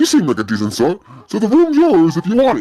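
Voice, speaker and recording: Racing along at a very fast pace, a man performs a put-on character voice full of very wide pitch swings. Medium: game stream. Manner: folksy, rambling.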